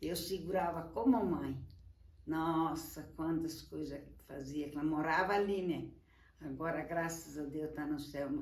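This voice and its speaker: A woman's very deep, low voice at a fairly slow pace, fairly even in intonation, with audible room echo and noticeable background noise. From southern Brazil, Rio Grande do Sul (Encantado). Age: 80s+. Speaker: elderly interviewee. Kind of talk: casual life-story interview. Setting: at her home.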